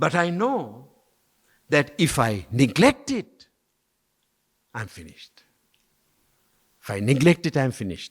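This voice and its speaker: Using vocal fry and very wide pitch swings, a man with fairly high pitch speaks at a fairly slow pace with long, frequent pauses, the sound dry and close with no echo. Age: 70s. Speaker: ministry leader. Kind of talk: talk to a group.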